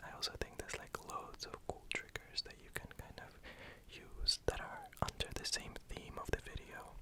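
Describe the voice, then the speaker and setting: Whispered words come at a moderate pace while noticeable background noise continues. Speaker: ASMR artist. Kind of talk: ASMR whispered introduction talk.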